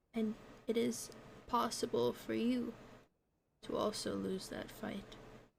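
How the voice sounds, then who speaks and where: A raspy, put-on character voice, female-sounding and fairly high in pitch, fairly slow with long, frequent pauses. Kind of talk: roleplay tarot reading. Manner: slow, ominous.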